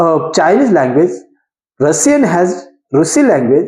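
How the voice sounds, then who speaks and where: The speaker talks at a very slow pace with a Goan accent. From India, Konkani-speaking region. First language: Konkani. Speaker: English learner and video creator. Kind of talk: informal educational talk to camera. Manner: halting, with fillers and self-corrections.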